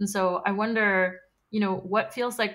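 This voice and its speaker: With an American accent, a woman speaks at a fairly slow pace and medium pitch, using ordinary pitch variation on a very clean recording with a silent background. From Queens, New York. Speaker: podcast host. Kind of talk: interview conversation.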